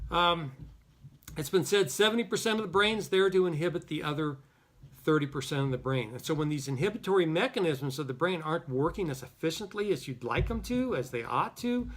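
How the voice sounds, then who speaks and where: Over a very clean recording with a silent background, a man with a plain, everyday voice talks at a fairly quick pace in a fairly high pitch, his intonation lively. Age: 60s. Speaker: psychologist. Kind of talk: lecture. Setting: office. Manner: casual.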